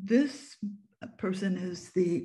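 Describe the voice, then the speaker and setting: A woman with an American accent speaks with vocal fry and a dark, mellow tone against a quiet background. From Japan, then US and UK. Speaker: photographer and author. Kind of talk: online presentation. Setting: video call. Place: home room. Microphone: webcam.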